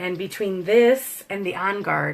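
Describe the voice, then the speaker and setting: A woman speaks in an animated tone. Vocal fry runs through her voice. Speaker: essential oils seller teaching a class. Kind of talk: live online class. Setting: livestream video.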